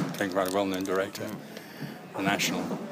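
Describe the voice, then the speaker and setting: A man's voice over noticeable background noise. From Scotland, Greenock. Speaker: actor. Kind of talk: interview.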